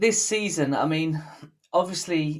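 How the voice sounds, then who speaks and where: Pitch varies in an ordinary way as someone talks with a British accent. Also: man. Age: 30s. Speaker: podcast host. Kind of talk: casual interview.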